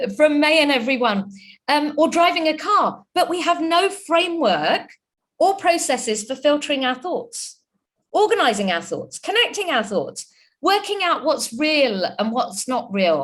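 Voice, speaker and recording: Speaking with a British accent, a woman uses a high pitch and very wide pitch swings at a fairly slow pace. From UK. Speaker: chartered accountant and entrepreneur, webinar speaker. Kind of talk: webinar talk.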